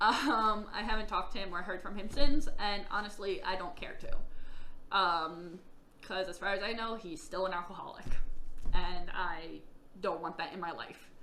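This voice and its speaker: With audible room echo, a woman speaks with ordinary pitch variation and big swings in loudness. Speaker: vlogger telling own life story. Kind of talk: personal testimony vlog.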